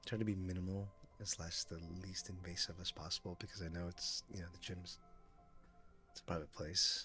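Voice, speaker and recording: Music plays in the background. The tone is relaxed and the intonation monotone and flat, at a moderate pace. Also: man, very deep, low pitch for a man. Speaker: gaming live streamer. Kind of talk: casual talk about his gym and rehab routine. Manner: chill, relaxed, talkative.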